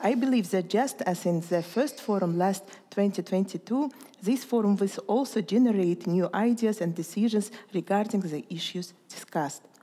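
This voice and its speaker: Moderate pace and ordinary pitch variation from a woman. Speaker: cultural foundation president. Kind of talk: formal speech. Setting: stage with audience. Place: hall.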